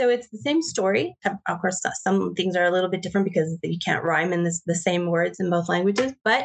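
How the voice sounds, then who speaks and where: The sound is dry and close with no echo. Delivery comes at a fairly quick pace with hardly any pauses and ordinary pitch variation. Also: woman, fairly low pitch for a woman. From Canada. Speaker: author. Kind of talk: interview.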